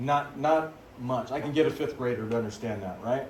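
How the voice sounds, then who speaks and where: Amid noticeable background noise and audible room echo, a man of medium pitch talks at a moderate pace with ordinary pitch variation. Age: 50s. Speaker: biology teacher. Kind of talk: lecture. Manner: animated.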